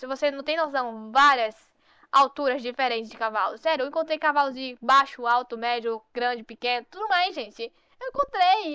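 Raised and projected, a woman's high, bright, sharp voice carries an animated tone at a moderate pace, with ordinary pitch variation and big swings in loudness. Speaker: gaming youtuber. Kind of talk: gameplay commentary.

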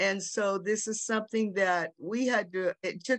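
The pace is fairly slow against a quiet background. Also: woman. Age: 60s. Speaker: sex worker rights activist, panelist. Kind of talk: panel discussion. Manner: halting, many fillers. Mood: earnest, reflective. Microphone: video call.

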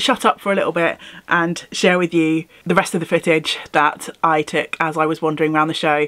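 A woman with a British accent speaks at a fairly low pitch. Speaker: craft YouTuber. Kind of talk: casual vlog. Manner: animated.

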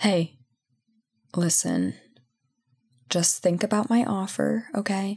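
Woman in a put-on character voice, slow and medium-pitched, slightly mellow with a slightly husky edge, big pitch swings, on a very clean recording with a silent background.

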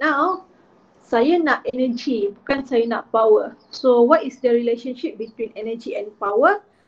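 A woman with a high pitch speaks at a fairly slow pace, with lively intonation and big swings in loudness. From Malaysia. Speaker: physics teacher. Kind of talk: lecture. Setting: online class. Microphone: webcam.

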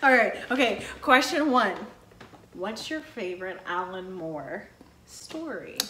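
A woman's fairly high voice with very wide pitch swings and big swings in loudness, at a very slow pace, with audible room echo and noticeable background noise. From Texas. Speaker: book YouTuber. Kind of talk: casual chat. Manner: animated.

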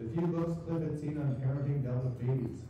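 Strong room echo and light background noise accompany a man talking at a moderate pace with ordinary pitch variation. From Minnesota. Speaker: writer, former surgeon. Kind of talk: reading aloud. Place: stage.

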